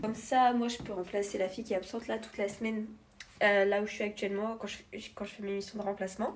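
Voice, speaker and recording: A woman with a fairly high pitch talks at a very fast pace over noticeable background noise. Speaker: vlogger. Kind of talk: vlog, casual talk to camera. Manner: hesitant, many fillers.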